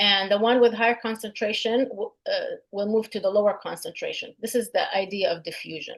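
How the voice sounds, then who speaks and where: A woman at a fairly quick pace, with hardly any pauses. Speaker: instructor. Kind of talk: lecture.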